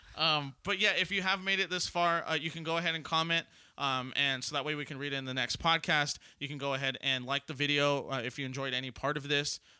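Speaking very fast with an American accent, a man has a fairly high pitch, a bright, sharp tone, and fairly even intonation, in a very clean recording with a silent background. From Southern California. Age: 20s. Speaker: podcast host. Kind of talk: casual chat.

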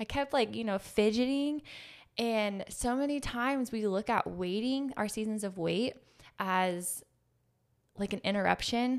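A woman's fairly high voice, an unremarkable speaking voice, at a fairly slow pace with ordinary pitch variation, on a very clean recording with a silent background. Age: 30s. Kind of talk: faith-based casual conversation.

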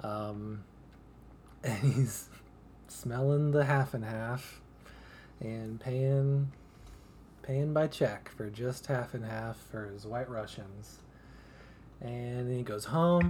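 Speaking at a very slow pace with long, frequent pauses, a man uses a somewhat breathy, medium-pitched voice with ordinary pitch variation. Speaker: podcast co-host. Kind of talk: casual chat.

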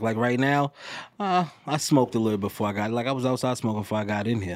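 This man talks at a very fast pace with a New York accent. His pitch varies in an ordinary way. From New York City. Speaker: rapper. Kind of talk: casual interview chat. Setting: podcast studio.

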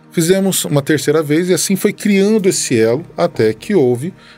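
Using an unremarkable speaking voice, a man talks at a fairly quick pace with lively intonation. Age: 30s. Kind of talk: casual chat.

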